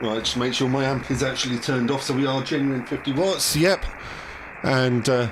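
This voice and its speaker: A man with a British accent, fairly even intonation and very even loudness, amid noticeable background noise and audible room echo. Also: medium pitch for a man, moderate pace. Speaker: ham radio operator and video host. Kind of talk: live stream chat. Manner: hesitant, many fillers.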